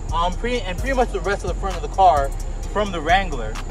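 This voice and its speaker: Clear music plays in the background while a man talks with a dry sound and no echo. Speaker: car reviewer. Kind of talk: casual review walkthrough. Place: street.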